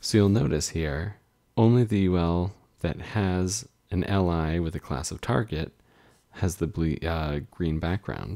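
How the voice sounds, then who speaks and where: A man speaks at a very slow pace in a very deep, low pitch, with ordinary pitch variation. The recording is very clean, with a silent background. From Canada. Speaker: web developer. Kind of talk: live coding tutorial. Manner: casual.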